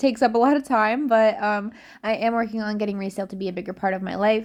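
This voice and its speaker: In a normal speaking voice, a woman speaks with a fairly high pitch and fairly even intonation against a quiet background. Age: 20s. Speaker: reseller and content creator. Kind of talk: casual work-along vlog. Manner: casual, filler-heavy.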